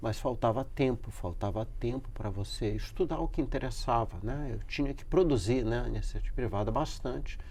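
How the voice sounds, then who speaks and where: Room echo can be heard. The talking proceeds at a moderate pace. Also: man. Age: 60s. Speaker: professor. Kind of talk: interview. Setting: studio. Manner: halting.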